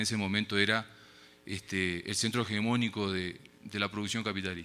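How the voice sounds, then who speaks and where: With a Uruguayan accent, a man talks fairly quickly in a fairly low voice with a bright, sharp tone. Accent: Uruguayan Spanish, noticeable abroad. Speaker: academic speaker at a forum. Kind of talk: conference lecture. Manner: casual filler words (eh, este).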